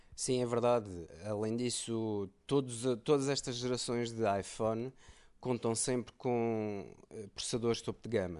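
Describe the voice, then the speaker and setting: Against a quiet background, a man with a normal speaking voice talks at a fairly slow pace, his medium pitch carried by fairly even intonation. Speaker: tech podcast co-host. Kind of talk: casual chat.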